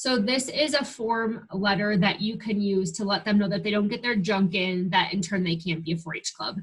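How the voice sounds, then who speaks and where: A woman with an American accent speaks at a medium pitch in a somewhat breathy voice, using ordinary pitch variation and hardly any pauses. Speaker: 4-H extension staff trainer. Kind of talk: webinar training. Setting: online screen-share webinar. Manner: fast.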